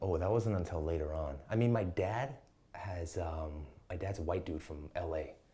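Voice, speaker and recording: Speech with ordinary pitch variation moves at a moderate pace, with noticeable noise in the background. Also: man, very deep, low pitch for a man. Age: 30s. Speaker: Muay Thai coach. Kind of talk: casual chat. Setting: podcast interview.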